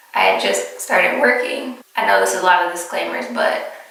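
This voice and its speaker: A woman speaks at a moderate speed, with audible room echo and noticeable background noise around her. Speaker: vlogger. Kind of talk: casual chat.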